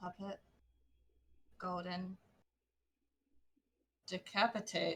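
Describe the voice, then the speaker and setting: In a put-on character voice, the speaker mumbles at a very slow pace with monotone, flat intonation and long, frequent pauses. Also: woman, medium pitch for a woman. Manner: mumbling, low and slurred.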